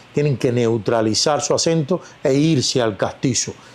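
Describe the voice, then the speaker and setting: A man with a fairly high pitch and ordinary pitch variation speaks against noticeable background noise. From Cuba. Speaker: actor. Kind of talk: interview.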